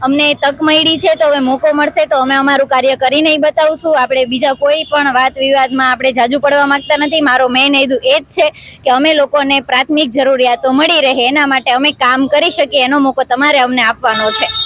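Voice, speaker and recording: A woman's high-pitched voice, with fairly even intonation and very even loudness, sounds dry and close with no echo. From Gujarat, Junagadh. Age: 20s. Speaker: local election candidate. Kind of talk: interview.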